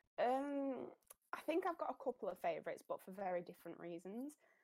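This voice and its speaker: A woman speaks with a Yorkshire accent and lively intonation. She keeps a moderate pace. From South Yorkshire, Sheffield. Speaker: cosplayer. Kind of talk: casual interview.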